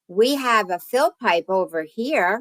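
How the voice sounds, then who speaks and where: With a New Jersey accent and lively intonation, a woman is heard in a dry, close sound with no echo. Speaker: oil heat specialist and realtor. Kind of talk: presentation to home inspectors. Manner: casual, conversational.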